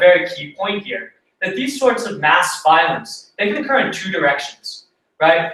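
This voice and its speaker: A man's high-pitched voice with audible room echo. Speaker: conference presenter. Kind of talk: academic presentation. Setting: conference talk.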